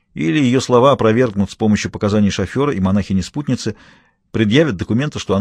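Reading aloud in a natural voice, over a quiet background.

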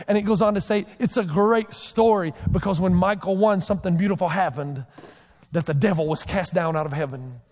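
A man with a high voice talks at a fairly quick pace and ordinary pitch variation, over noticeable background noise. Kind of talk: sermon. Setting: church stage with congregation. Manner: fast.

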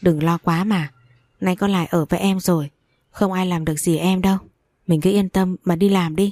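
A natural reading voice with fairly even intonation over a quiet background

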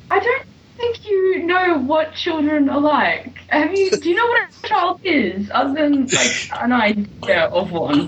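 A woman with a British accent speaks at a fairly slow pace with hardly any pauses. Her high pitch makes very wide swings over noticeable background noise. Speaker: comic book reviewer. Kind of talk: casual banter, reviewing a comic.

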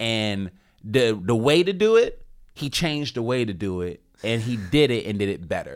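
The speaker sounds animated and keeps a moderate pace. The recording is very clean, with a silent background. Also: man. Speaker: podcast co-host, comedian. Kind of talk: casual chat. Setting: studio.

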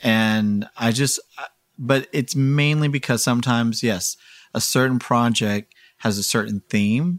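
Recorded very cleanly against a silent background, a man with an American accent speaks at a medium pitch with ordinary pitch variation, the sound dry and close with no echo. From Houston, Texas. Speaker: noise musician and fashion designer. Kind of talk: casual interview. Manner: halting.

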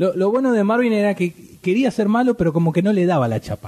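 Speaking at a fast pace, a man has a high pitch, a dark, mellow tone and lively intonation.

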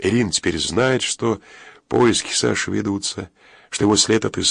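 A natural voice reading aloud

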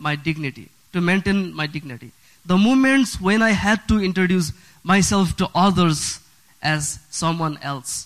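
A man talks at a fairly slow pace, his high pitch carried by lively intonation. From Bhutan, raised in a Nepal refugee camp. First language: Nepali. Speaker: refugee sharing his story. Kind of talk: prepared personal story reading. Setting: church.

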